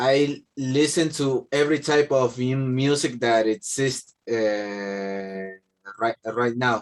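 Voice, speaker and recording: A man at medium pitch with a Spanish accent, speaking at a very slow pace. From Argentina. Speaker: English language student. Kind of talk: language class speaking practice. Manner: halting, many fillers and repetitions.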